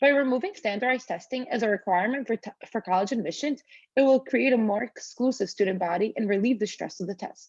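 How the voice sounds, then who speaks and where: With a non-native accent, a woman speaks at a very fast pace with lively intonation and a fairly high pitch. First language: not English. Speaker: student. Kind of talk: reading aloud. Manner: formal.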